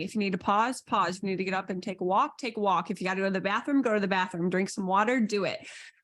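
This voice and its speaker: Energetic in tone, a woman with medium pitch talks at a very fast pace. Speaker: energy healer and intuitive coach. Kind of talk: online coaching lesson.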